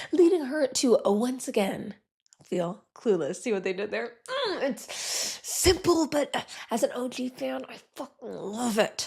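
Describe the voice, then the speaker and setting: A woman whispering, with big swings in loudness. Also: fairly slow pace. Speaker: podcast host. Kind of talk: casual chat.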